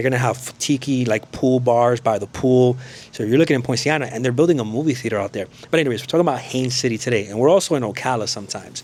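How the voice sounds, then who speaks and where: Very fast speech from a man, with background noise clearly present. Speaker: realtor and mortgage broker. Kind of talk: real estate video tour. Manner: casual, conversational.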